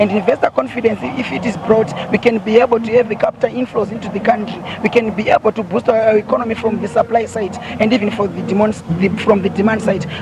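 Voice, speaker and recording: Over noticeable background noise, a man with a high pitch speaks at a very fast pace with fairly even intonation. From Zimbabwe. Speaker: student union spokesperson. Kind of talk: live TV news interview answer.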